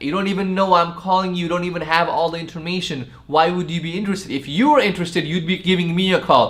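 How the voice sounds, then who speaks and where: A man speaks loudly at a high pitch. His tone is animated. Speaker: sales trainer. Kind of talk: tutorial.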